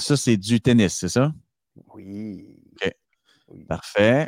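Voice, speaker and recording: Dry, close sound with no echo on a man's medium-pitched voice with ordinary pitch variation. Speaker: podcast co-host. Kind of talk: casual chat. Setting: remote call.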